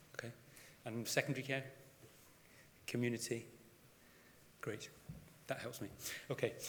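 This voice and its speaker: A man's medium-pitched, monotone, flat voice at a fairly quick pace, with long, frequent pauses and audible room echo. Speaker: GP and GP trainer. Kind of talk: conference presentation. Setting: stage with audience.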